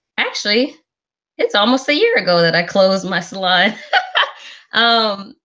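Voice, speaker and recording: Speaking at a moderate pace with a Southern US accent, a woman at medium pitch keeps her loudness very even, uses ordinary pitch variation, and leaves long, frequent pauses. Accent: somewhat Southern US. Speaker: business mentor. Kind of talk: sales pitch. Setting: live webinar.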